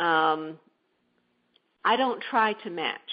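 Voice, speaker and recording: This woman has a plain, everyday voice. Her pitch is fairly low, with ordinary variation. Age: 60s. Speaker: entrepreneur, shared-housing service founder. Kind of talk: interview. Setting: radio show.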